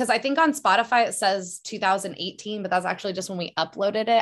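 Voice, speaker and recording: Against a quiet background, a woman with a plain, everyday voice talks at a fairly quick pace and medium pitch, with lively intonation. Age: 30s. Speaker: singer and English teacher. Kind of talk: casual chat.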